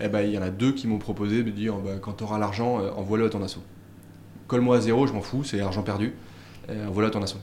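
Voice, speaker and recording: A man's fairly low voice, flat and monotone, very fast yet broken by long, frequent pauses, with audible room echo. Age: 30s. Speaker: startup founder and business angel. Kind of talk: casual interview. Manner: halting, many repetitions and fillers.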